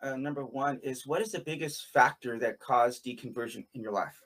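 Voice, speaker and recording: A man talks in an ordinary speaking voice, keeping a fairly high pitch and a moderate pace. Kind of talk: interview in live-stream conversation. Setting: live stream video call.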